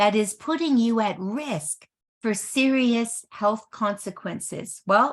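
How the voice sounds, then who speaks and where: A woman speaks fairly slowly in a somewhat breathy, fairly high voice with lively intonation, on a very clean recording with a silent background. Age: 60s. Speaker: network marketing presenter. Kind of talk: sales presentation.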